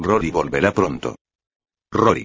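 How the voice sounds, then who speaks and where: A man delivers his words in a theatrical tone. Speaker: audiobook narrator. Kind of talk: dramatic audiobook narration. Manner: suspenseful, gravely theatrical, shifting into tense dialogue voices.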